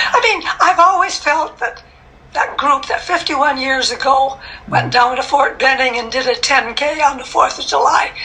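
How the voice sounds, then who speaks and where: Noticeable background noise sits behind a high-pitched woman speaking with an American accent at a moderate pace with ordinary pitch variation. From Minnesota. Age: 80s+. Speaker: masters runner. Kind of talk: interview answer.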